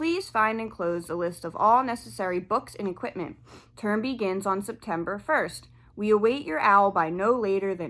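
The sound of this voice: An unforced voice, reading aloud.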